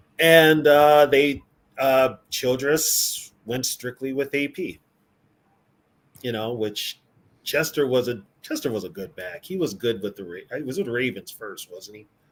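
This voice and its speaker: Speaking at a fairly slow pace, a man with a plain, everyday voice and a medium pitch uses lively intonation and big swings in loudness. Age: 50s. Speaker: sports podcast co-host. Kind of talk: casual chat.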